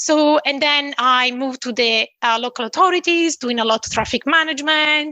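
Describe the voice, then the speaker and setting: In an Italian accent, a woman projects a raised voice with a bright, sharp tone, ordinary pitch variation and a moderate pace, the sound dry and close with no echo. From northwest Italy. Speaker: engineering consultancy founder. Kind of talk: interview.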